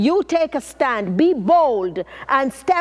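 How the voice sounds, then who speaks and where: Noticeable background noise sits behind a woman with a Jamaican accent. Her high-pitched voice has an animated tone. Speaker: motivational speaker. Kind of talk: motivational talk.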